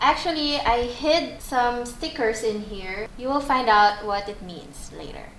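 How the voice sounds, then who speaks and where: Over noticeable background noise, a woman with a high pitch talks at a fairly slow pace with hardly any pauses, lively intonation and big swings in loudness. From Philippines. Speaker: video host, interviewer. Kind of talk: casual chat.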